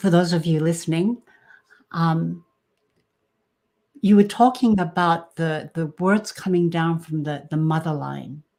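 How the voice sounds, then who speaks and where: A woman's fairly low, dark, mellow voice in a Japanese accent, fairly slow with long, frequent pauses and ordinary pitch variation. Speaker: podcast host. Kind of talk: livestream interview. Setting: livestream. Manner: halting.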